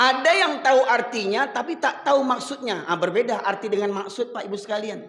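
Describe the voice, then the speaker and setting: A man with an extremely high pitch talks at a fairly quick pace, his intonation lively. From Sumatra, Medan. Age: 50s. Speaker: Islamic preacher. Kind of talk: sermon. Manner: animated.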